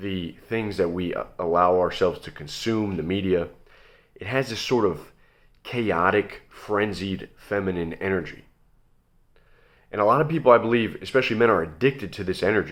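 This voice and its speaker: A man with a normal speaking voice and fairly low pitch talks at a moderate pace, showing ordinary pitch variation and big swings in loudness. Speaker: video essayist. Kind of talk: monologue to camera. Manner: calm.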